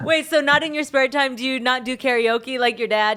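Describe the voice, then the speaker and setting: A woman talks in a high voice at a moderate pace, her pitch varying in an ordinary way, with noticeable background noise behind her. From Philippines heritage. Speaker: podcast host. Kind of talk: casual interview.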